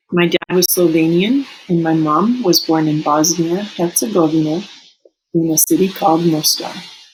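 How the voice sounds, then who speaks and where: A woman with a Serbo-Croatian accent speaks at a moderate pace and a fairly low pitch. Her loudness stays very even, and her pitch varies in an ordinary way. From Canada, raised in Eastern European household. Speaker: teacher. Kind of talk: personal reflection read aloud.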